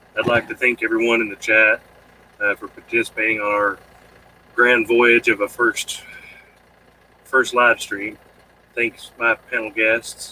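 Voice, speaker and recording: The sound is dry and close, with no echo. Speech moves at a fairly slow pace with long, frequent pauses. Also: man. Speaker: live stream host. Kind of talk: casual chat. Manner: halting.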